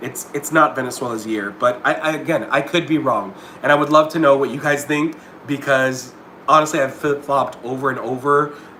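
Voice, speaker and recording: A man talks at a fairly high pitch with fairly even intonation. Noticeable background noise runs behind him. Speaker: pageant commentator YouTuber. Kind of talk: livestream commentary. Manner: fast; halting, repeats words.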